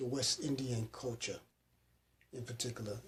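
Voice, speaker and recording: A man speaks in a somewhat breathy voice. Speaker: interviewer. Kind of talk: interview question.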